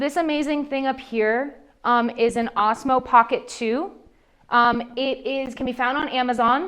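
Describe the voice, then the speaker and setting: A woman speaks loudly at a fairly slow pace in a high pitch, her tone animated against a quiet background. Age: 30s. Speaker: social media marketing speaker. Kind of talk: seminar Q&A.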